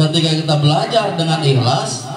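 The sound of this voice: A man's fairly high voice at a moderate pace, with lively intonation and audible room echo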